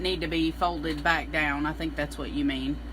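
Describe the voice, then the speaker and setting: A moderate pace in a Southern US accent. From US South, Middle Tennessee. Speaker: embroidery instructor. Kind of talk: live-stream tutorial. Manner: casual, chatty.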